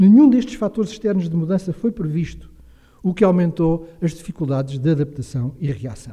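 Against a quiet background, the speaker uses a dark, mellow tone with lively intonation at a moderate pace. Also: man, high pitch for a man. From Portugal, near Caldas da Rainha; Portugal. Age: 60s. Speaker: retiring professor and historian; retiring professor. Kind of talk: lecture. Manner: formal. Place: hall. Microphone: podium.

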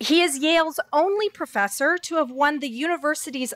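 A woman's bright, sharp tone at a moderate pace over a quiet background. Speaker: event host introducing speaker. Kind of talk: formal speaker introduction. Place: hall. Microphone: podium.

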